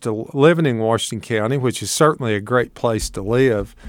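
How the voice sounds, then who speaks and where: A man with an Appalachian accent, medium pitch and ordinary pitch variation. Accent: Appalachian Southern, noticeable. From Appalachia, northeast Tennessee. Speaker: agricultural extension agent. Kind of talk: live radio call-in talk. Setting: radio studio, live broadcast.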